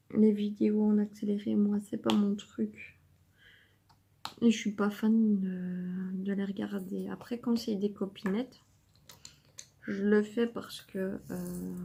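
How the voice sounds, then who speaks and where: A woman talks at a very slow pace, leaving long, frequent pauses. Her medium-pitched voice has a dark, mellow tone and is somewhat breathy. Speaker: diamond painting youtuber. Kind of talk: casual chat while crafting. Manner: calm, measured.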